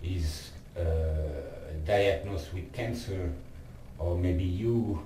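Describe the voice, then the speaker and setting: A man talks very slowly while background noise remains noticeable. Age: 50s. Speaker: lung cancer patient. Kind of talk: casual talk to camera.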